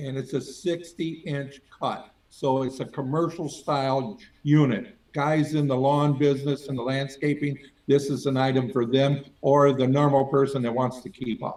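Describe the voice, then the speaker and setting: A plain, everyday voice with fairly even intonation and hardly any pauses. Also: man, fairly high pitch for a man. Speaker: auctioneer. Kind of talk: interview answer.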